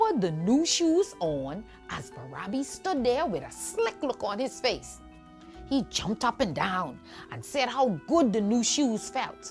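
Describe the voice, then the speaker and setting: Music in the background behind a woman's fairly slow delivery. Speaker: storyteller. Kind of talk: children's folk tale storytelling. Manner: lively, engaging.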